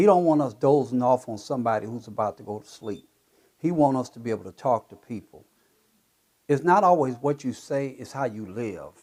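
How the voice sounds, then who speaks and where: A man with an American accent talks at a fairly quick pace and medium pitch in a normal speaking voice, with lively intonation and big swings in loudness. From Ohio. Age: 60s. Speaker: health and wellness advocate, military veteran. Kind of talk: interview.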